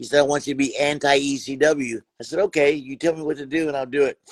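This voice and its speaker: An unremarkable speaking voice from a man, fairly high-pitched, at a moderate pace, dry and close with no echo. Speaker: wrestling referee and personality. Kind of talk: casual chat. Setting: video call.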